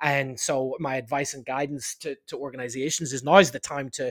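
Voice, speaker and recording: The speaker has a Northern Irish accent and fairly even intonation. The pace is fairly quick. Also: man. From Northern Ireland, Belfast. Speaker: leadership consultant and author. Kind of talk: interview.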